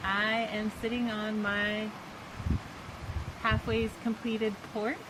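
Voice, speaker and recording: Over noticeable background noise, a woman talks at a very slow pace in a fairly high pitch, her intonation monotone and flat. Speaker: vlogger building a tiny house. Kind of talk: casual video update. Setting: outdoors on a porch. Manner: slow, hesitant with many fillers.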